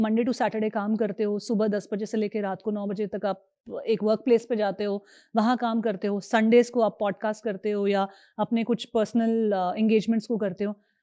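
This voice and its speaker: Against a quiet background, a woman speaks at a moderate pace with a dark, mellow tone. Her pitch is fairly high, and the sound is dry and close with no echo. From Kumaon, Uttarakhand, India. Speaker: podcast host. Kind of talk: podcast interview.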